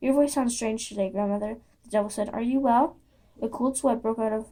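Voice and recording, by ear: Natural-voiced reading aloud.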